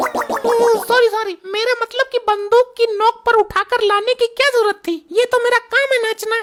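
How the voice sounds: A woman's cartoonish character voice at an extremely high pitch, moderate in pace with fairly even intonation, dry and close with no echo, over background music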